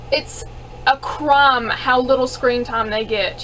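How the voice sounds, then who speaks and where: Over noticeable background noise, a woman with a Southern US accent speaks in a high pitch with ordinary pitch variation. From US South. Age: 20s. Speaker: YouTuber answering viewer questions. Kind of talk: casual Q&A vlog. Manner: animated.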